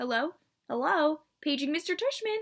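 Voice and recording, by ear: A woman puts on an extremely high-pitched character voice with very wide pitch swings.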